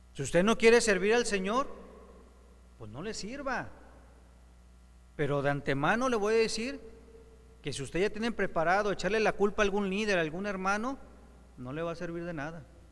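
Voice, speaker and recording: A man speaks at a high pitch, with big swings in loudness and long, frequent pauses. Audible room echo surrounds his voice. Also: lively intonation, fairly quick pace. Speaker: preacher. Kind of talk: sermon.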